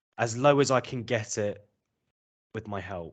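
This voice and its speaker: A man in a southern British accent, medium in pitch with ordinary pitch variation, against a quiet background. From southern England. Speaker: English teacher. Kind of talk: interview.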